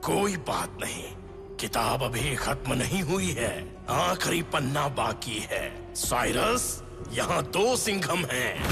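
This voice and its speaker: A man puts on a cartoonish character voice at a fairly high pitch and a very slow pace. Loud music plays in the background. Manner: solemn, oracular.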